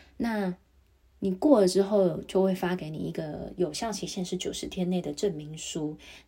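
A woman speaks at a moderate pace in a dark, mellow tone, her medium pitch carrying ordinary pitch variation. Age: 30s. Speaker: podcaster. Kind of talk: solo podcast monologue.

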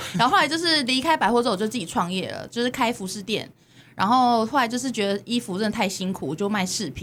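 A woman talks at a very fast pace in a fairly high pitch, with lively intonation. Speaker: podcast host. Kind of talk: casual chat. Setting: studio.

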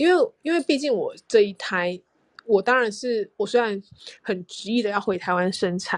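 A woman talks at a moderate pace with ordinary pitch variation in a plain, everyday voice. The sound is dry and close with no echo, over a quiet background. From Taiwan. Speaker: podcast co-host, expectant mother. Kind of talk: casual chat.

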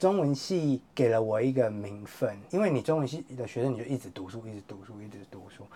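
With big swings in loudness, a man at a medium pitch talks at a fairly quick pace in a lively intonation, with hardly any pauses. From Taiwan, Yunlin. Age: 30s. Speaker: writer. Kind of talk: casual interview.

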